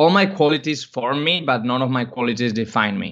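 In a Spanish accent, a man speaks at medium pitch and a moderate pace. His tone is bright and sharp, his intonation lively, and the background quiet. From Spain. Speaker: podcast co-host. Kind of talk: casual interview chat.

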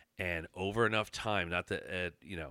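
On a very clean recording with a silent background, a man with an American accent speaks fairly slowly in a fairly low pitch with a bright, sharp tone. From Pennsylvania, Chester County. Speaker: constable. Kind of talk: casual interview.

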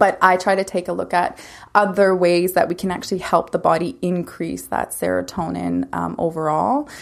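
A woman speaks at a moderate pace with a Canadian prairie accent on a very clean recording with a silent background. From Saskatchewan, Canada (Lumsden, near Regina). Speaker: naturopathic doctor. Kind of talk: interview.

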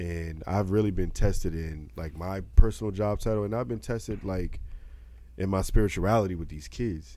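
A man's voice has a very deep, low pitch and a dark, mellow tone. His loudness swings widely, with audible room echo around him. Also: ordinary pitch variation, moderate pace. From Baltimore. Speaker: podcast co-host. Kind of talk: casual chat.

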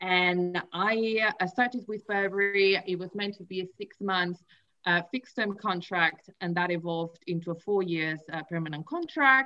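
The tone is bright and sharp. Pitch varies in an ordinary way at a moderate pace. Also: woman, medium pitch for a woman. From Spain, Barcelona. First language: Spanish or Catalan. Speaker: career coach. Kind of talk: interview, telling career story. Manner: some hesitations and fillers.

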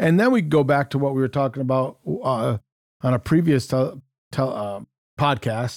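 A man in an American accent uses an ordinary speaking voice at medium pitch, with ordinary pitch variation and a moderate pace, in a dry, close sound with no echo. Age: 60s. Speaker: podcast co-host, leadership counselor. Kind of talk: casual chat.

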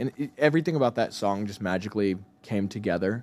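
A man speaks in a Texan accent at a moderate pace. His pitch is fairly low, with ordinary variation. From Texas (Cleburne, small rural town). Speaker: musician. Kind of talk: casual chat. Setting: studio.

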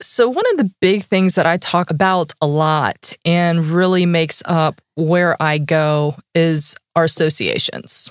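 A woman speaks in a plain, everyday voice at a fairly slow pace, with hardly any pauses and ordinary pitch variation. The sound is dry and close, with no echo. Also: fairly low pitch for a woman, very even loudness. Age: 40s. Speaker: financial strategist. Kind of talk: casual chat. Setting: studio.

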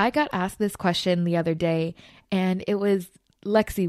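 A woman speaks in a Californian accent, her tone animated and enthusiastic. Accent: Californian valley. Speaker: podcast host. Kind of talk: casual solo podcast monologue, upbeat. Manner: animated, enthusiastic.

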